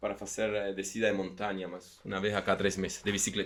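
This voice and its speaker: Very fast speech in an Argentine accent. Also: man. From Argentina, Patagonia. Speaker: company CEO. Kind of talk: podcast interview.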